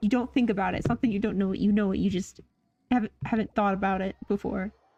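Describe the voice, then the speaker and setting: A somewhat breathy woman's voice, dark and mellow in tone, with fairly even intonation. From central Canada. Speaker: video game streamer. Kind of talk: live stream gameplay commentary. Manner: casual, self-correcting. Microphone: mic level reads really quiet.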